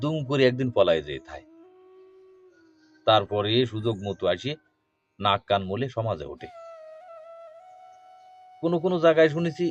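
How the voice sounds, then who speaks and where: A man with lively intonation over music in the background. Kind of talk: poetry reading.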